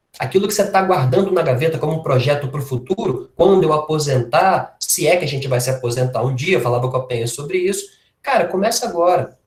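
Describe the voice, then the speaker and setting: A man's fairly high voice in a Minas Gerais accent, very fast, with lively intonation. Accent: mineiro Brazilian Portuguese. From Minas Gerais, Brazil. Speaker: workshop speaker on health. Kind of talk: informal lecture. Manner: casual, conversational.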